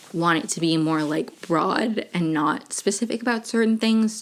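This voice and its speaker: A woman speaks with a fairly low pitch and lively intonation. There is noticeable background noise. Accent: American. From Maryland, US. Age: 20s. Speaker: podcaster. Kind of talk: casual chat. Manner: chatty, many fillers.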